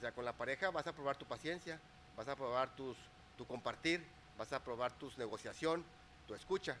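A man at a fairly quick pace. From Mexico, Torreón, Coahuila. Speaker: business and life coach. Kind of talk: interview.

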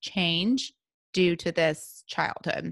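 Bright, sharp tone from a woman with a Southern US accent, on a very clean recording with a silent background. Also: dry, close sound with no echo. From US South, Memphis, Tennessee. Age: 30s. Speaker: wellness podcast host. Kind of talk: solo podcast monologue.

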